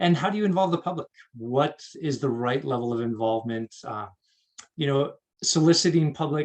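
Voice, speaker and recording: With a normal speaking voice, a man talks at a moderate pace, his pitch fairly high and its variation ordinary. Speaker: water district staff presenter. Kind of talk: presentation talk.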